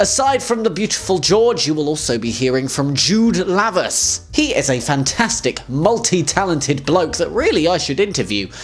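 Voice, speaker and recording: Moderate pace from a man, faint music in the background. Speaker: show host. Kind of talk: casual vlog chat. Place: home room. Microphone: handheld.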